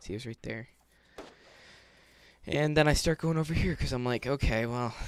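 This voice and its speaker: A man with vocal fry, ordinary pitch variation and a fairly quick pace. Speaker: gaming YouTuber. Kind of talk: gameplay commentary. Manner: fast; casual.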